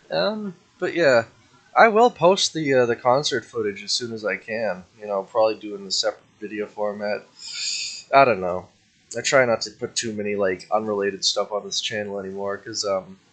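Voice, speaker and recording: A man speaks with big swings in loudness over noticeable background noise. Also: fairly low pitch for a man, ordinary pitch variation, fairly quick pace. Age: 19, turning 20. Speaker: youtuber vlogger. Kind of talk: casual vlog monologue. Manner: halting, many fillers.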